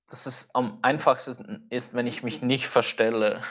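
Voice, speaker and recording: A man speaks in a normal speaking voice at medium pitch and a fairly slow pace. The recording is very clean, with a silent background. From Switzerland. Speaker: film photographer and YouTuber. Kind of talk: casual chat.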